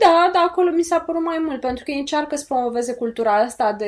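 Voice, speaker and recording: A woman speaks at a fairly quick pace. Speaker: podcast co-host. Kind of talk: casual chat.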